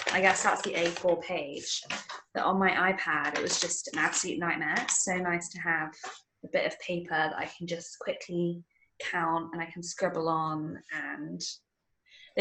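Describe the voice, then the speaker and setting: A woman talks at a fairly quick pace in a bright, sharp tone with fairly even intonation. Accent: British. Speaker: podcast co-host. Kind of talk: casual chat.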